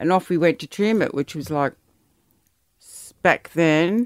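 The speaker has an Australian accent and talks at a moderate pace with ordinary pitch variation. The recording is very clean and silent in the background, with a dry, close sound and no echo. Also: woman. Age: 50s. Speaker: host's mother. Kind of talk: casual chat.

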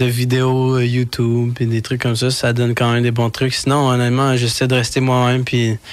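Moderate pace and medium pitch from a man with an ordinary speaking voice. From Quebec. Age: young. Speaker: rapper. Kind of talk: radio interview.

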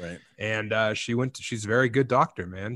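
A man talks in an ordinary speaking voice. His intonation is fairly even and his pace moderate. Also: very clean recording, silent background. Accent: American. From Colorado, Eastern Plains. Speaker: comedian and author. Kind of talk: casual chat.

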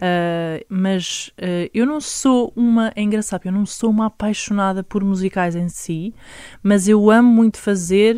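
Speaking at a very slow pace, a woman uses a medium pitch, ordinary pitch variation and a dark, mellow tone. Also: very clean recording, silent background. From Lisbon area, Portugal. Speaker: singer-songwriter. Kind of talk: interview.

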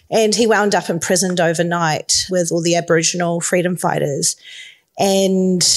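With a New Zealand accent, a woman talks at a moderate pace and a medium pitch over noticeable background noise. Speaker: filmmaker. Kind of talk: panel discussion. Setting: stage with audience.

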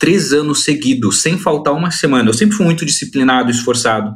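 A man talks with lively intonation. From Brazil. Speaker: study-abroad consultancy founder. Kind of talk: interview. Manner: animated.

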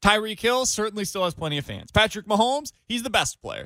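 A man talks at a very fast pace in a raised, projected voice with a bright, sharp tone. The recording is very clean, with a silent background. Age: 20s. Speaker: sports radio host. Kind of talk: sports talk radio.

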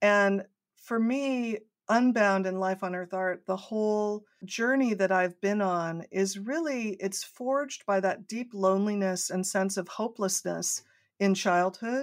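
A woman with a General American accent talks at a fairly slow pace in an ordinary speaking voice. The recording is very clean, with a silent background. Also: medium pitch for a woman, ordinary pitch variation. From US West Coast, San Diego. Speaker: artist and nonprofit founder. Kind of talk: interview storytelling.

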